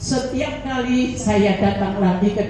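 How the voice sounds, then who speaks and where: Against noticeable background noise, a woman's voice carries audible room echo. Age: 70s. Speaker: cancer survivor giving testimony. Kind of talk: testimony.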